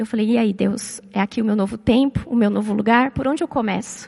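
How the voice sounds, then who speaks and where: Noticeable background noise accompanies a woman speaking at a fairly quick pace in a fairly high pitch, with ordinary pitch variation and a dry, close sound with no echo. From Brazil, São Paulo. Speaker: psychologist and church speaker. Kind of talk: church talk with personal testimony.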